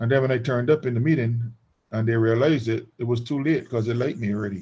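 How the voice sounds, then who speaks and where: A man talks at a very fast clip in a medium-pitched, somewhat breathy voice. His intonation stays fairly even. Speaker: business trainer. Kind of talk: webinar discussion.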